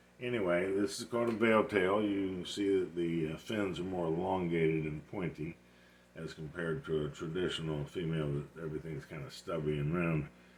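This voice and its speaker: Talking at a fairly quick pace, a man with a very deep, low pitch uses ordinary pitch variation. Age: 70s. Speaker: aquarium hobbyist. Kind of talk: casual video tour. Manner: halting, many fillers.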